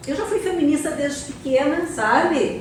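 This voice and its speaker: A woman speaks in a high voice with lively intonation, her words carrying audible room echo amid noticeable background noise. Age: 60s. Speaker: architect and event speaker. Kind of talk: public talk at an event. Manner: halting, many fillers.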